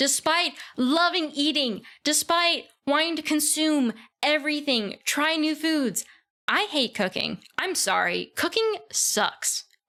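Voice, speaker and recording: A raised, projected voice with a bright, sharp tone, lively intonation and very even loudness, at a very slow pace. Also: woman, high pitch for a woman. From US South. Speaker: vtuber streamer. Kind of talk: casual livestream self-introduction. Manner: hesitant, many fillers.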